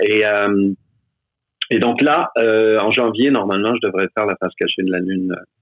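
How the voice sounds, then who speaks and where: At a fairly slow pace, a man with a fairly low pitch talks in a fairly even tone, leaving long, frequent pauses. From Quebec. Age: 60s. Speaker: stage actor. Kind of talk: casual chat.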